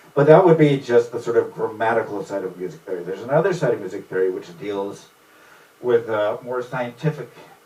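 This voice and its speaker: A man talks at a medium pitch with ordinary pitch variation. Noticeable background noise runs behind him. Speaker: music teacher. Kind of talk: informal lecture. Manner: fast when excited; animated.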